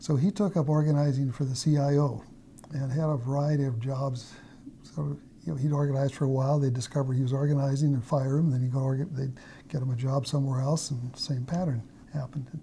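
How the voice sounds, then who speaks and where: A man speaks very fast at a fairly high pitch, somewhat breathy, with fairly even intonation. His tone is dark and mellow. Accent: American. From US Pacific Northwest (Idaho, Washington). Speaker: mathematician. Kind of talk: interview, life story. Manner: halting, many fillers.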